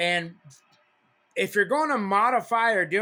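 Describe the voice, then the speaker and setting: With a bright, sharp tone, a man speaks in a raised, projected voice at a fairly slow pace, in a very clean recording with a silent background. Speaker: CB radio hobbyist. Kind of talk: casual talk to camera. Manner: animated, repetitive.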